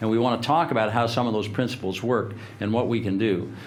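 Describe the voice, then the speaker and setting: Amid audible room echo, a man with a fairly low pitch talks at a very fast pace. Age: 70s. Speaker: leadership speaker. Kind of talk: motivational talk.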